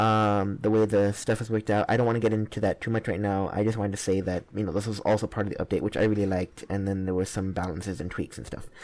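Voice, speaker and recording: Talking at a very fast clip with hardly any pauses, a man keeps his intonation monotone and flat. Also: fairly low pitch for a man. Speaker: gaming YouTuber. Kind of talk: gameplay commentary. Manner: halting, many fillers.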